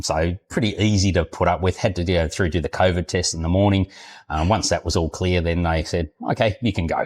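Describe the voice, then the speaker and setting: Very deep and low in pitch, a man with an Australian accent talks with fairly even intonation in a dry, close sound with no echo, on a very clean recording against a silent background. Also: fairly quick pace. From Australia, Queensland. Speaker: retired expat. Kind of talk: interview. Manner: halting, many fillers.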